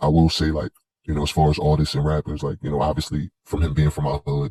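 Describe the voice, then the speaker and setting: Very fast and flat in a monotone, a man talks at a very deep, low pitch. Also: dry, close sound with no echo. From Queens, New York (South Jamaica). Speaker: commentary vlogger. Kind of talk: monologue commentary. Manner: halting, many fillers and restarts.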